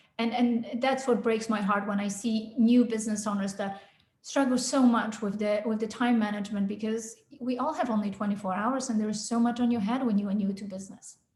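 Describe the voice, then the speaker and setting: A woman's fairly high voice at a fairly quick pace, with fairly even intonation and audible room echo. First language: not English (English is her third language). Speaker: sales consultant. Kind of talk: podcast interview.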